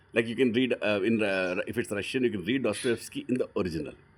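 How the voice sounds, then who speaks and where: A man with an Indian accent talks at a very fast pace, his pitch fairly low with ordinary variation. The recording is very clean, the background silent. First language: Hindi. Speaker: book reader and teacher. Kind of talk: reading aloud with commentary. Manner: animated; halting.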